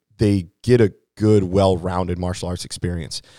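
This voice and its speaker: A man speaks with a Midwestern American accent in a very deep, low voice, at a moderate pace and with fairly even intonation. The recording is very clean, with a silent background. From Hannibal, Missouri, US Midwest. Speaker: martial arts instructor. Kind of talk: interview.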